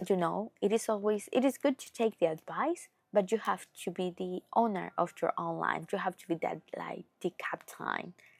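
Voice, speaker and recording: A woman with a Spanish accent speaks at a moderate pace with hardly any pauses, her loudness swinging widely. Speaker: podcast host. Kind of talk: casual monologue. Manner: halting.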